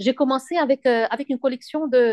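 This woman's voice is dry and close-miked with no echo, over a quiet background, showing normal pitch movement. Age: 50s. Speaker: fashion designer. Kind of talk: interview. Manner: halting; gentle.

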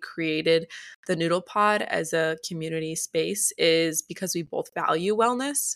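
A woman's ordinary speaking voice, fairly low in pitch with ordinary pitch variation, at a fairly slow pace, on a very clean recording with a silent background. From US Midwest, North Shore of Chicago. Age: 18. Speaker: podcast co-host, college student. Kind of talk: casual chat; scripted outro.

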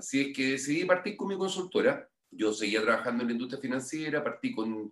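With a Chilean accent, a man speaks at a moderate pace and medium pitch. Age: 50s. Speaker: financial education consultant. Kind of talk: interview.

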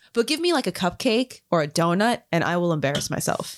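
Speaking with an American accent in an ordinary speaking voice, a woman talks at a moderate pace with lively intonation on a very clean recording with a silent background. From Florida. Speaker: podcast host. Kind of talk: casual chat.

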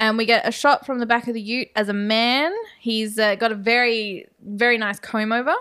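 Speaking at a moderate pace, a woman has an unremarkable speaking voice, fairly high in pitch, with fairly even intonation. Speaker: podcast co-host. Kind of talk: casual chat, horror movie discussion.

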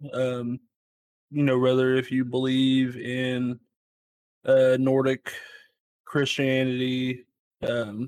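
A man talks at a medium pitch. The sound is dry and close, with no echo. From Kentucky. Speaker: paranormal investigator. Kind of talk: casual chat.

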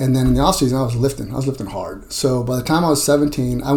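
A man talks at a fairly quick pace and medium pitch with fairly even intonation, against noticeable background noise. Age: 50s. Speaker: strength coach. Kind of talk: interview.

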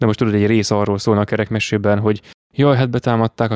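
At a very fast pace, a man with a medium pitch speaks in fairly even intonation, the sound dry and close with no echo. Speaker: podcast co-host. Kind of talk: casual chat.

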